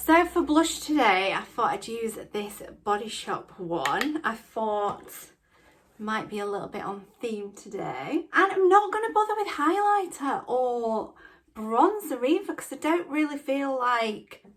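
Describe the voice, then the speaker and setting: In a Yorkshire accent, a woman speaks at a high pitch with very wide pitch swings and a fairly slow pace. There is noticeable background noise. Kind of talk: casual talk to camera, makeup storytime. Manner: chatty, excitable.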